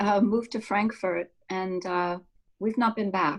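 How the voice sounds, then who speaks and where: Fairly even intonation marks this woman's speech. She talks at a moderate pace with an American accent. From United States. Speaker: actor. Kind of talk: casual chat.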